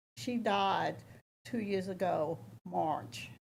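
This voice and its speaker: With audible room echo, a woman's fairly low voice shows vocal fry and very wide pitch swings. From US South. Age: 70s. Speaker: public commenter at town council meeting. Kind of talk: public comment. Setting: council chamber meeting.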